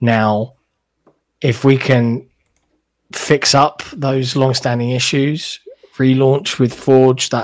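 In a very clean recording with a silent background, a man with a British accent talks at a fairly slow pace in a medium-pitched voice with monotone, flat intonation. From Britain. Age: 30s. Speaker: level designer and podcast guest. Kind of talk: casual chat.

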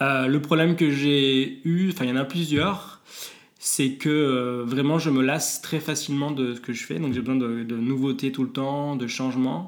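A man with a plain, everyday voice, fairly high in pitch, at a fairly slow pace with ordinary pitch variation. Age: 30s. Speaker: psychologist and mental coach. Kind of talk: interview.

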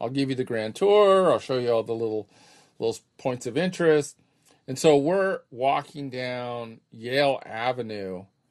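Against a quiet background, a man with an American accent, a normal speaking voice and medium pitch talks at a moderate pace with lively intonation. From Claremont, California. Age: 50s. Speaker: podcast co-host. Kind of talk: casual chat.

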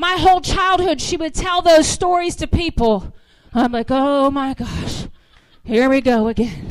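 Speaking with an American accent, a woman with a high pitch talks at a fairly slow pace, her intonation lively and her tone animated. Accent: slight Southern US, comes out at times. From US South. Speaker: guest preacher. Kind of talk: sermon. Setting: church.

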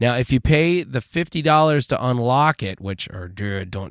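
A man with a medium-pitched voice and ordinary pitch variation, recorded dry and close with no echo on a very clean track with a silent background, in an unremarkable speaking voice. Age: 40s. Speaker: podcast host. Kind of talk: casual chat. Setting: virtual studio.

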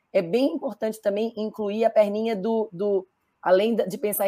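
A woman's dark, mellow tone at medium pitch and a moderate pace. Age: 50s. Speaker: diversity and business consultant. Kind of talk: panel discussion.

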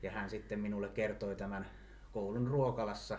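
Audible room echo surrounds a man as he talks at a fairly slow pace. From Finland, Mänttä (Pirkanmaa). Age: 30s. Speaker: municipal election candidate, museum worker. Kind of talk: interview.

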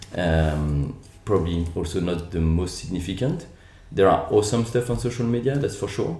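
A man with a French accent, very deep and low in pitch, dark and mellow in tone, somewhat breathy, with lively intonation at a moderate pace and audible room echo. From France, Lyon. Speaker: entrepreneur. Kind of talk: interview.

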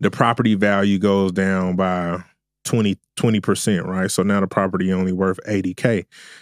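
Very deep, low male voice in a Southern US accent, monotone and flat, with very even loudness, a moderate pace and a very clean recording on a silent background. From US South. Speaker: trading and crypto educator. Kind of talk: casual interview. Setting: studio.

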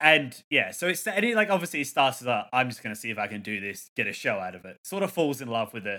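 Speaking at a very fast pace, a man uses a bright, sharp tone with very wide pitch swings and big swings in loudness. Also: medium pitch for a man, hardly any pauses. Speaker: podcast host. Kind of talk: casual chat. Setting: streaming online from home.

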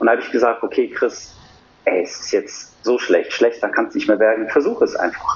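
A man's voice over noticeable background noise. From Germany, Cologne. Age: 40s. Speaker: coach and former personal trainer. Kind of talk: casual conversational interview.

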